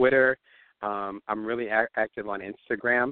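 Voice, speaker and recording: This man has a normal speaking voice, fairly low in pitch. He talks at a moderate pace with an American accent. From US Northeast (New Jersey). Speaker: entrepreneur and author. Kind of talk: interview.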